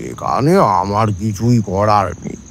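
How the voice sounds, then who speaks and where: Putting on a character voice, a man with a fairly low pitch and ordinary pitch variation speaks at a very slow pace over clear background noise. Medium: audio drama. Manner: measured, sagely.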